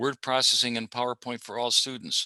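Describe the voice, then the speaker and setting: Against a quiet background, a man speaks fairly quickly at medium pitch in a bright, sharp tone, monotone and flat, with a dry, close sound and no echo. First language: Hungarian. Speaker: community college math instructor. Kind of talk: conference presentation.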